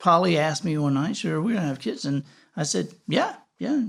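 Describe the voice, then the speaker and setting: With a Southern US accent, a man speaks at a fairly quick pace. His pitch is fairly high. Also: very clean recording, silent background. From US South. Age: 60s. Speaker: podcast host. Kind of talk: casual interview chat. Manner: halting, many restarts.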